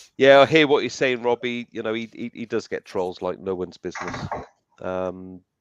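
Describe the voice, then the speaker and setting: A man talks with a South Welsh accent at medium pitch and a moderate pace. The sound is dry and close with no echo, over a quiet background. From South Wales (Barry). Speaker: metal detecting channel host. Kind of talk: casual chat. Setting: live stream.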